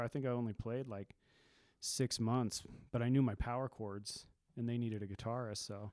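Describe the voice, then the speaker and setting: On a very clean recording with a silent background, a man with an American accent speaks at a moderate pace in a medium pitch, using an unremarkable speaking voice. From Nevada, US. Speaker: punk musician. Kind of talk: casual chat.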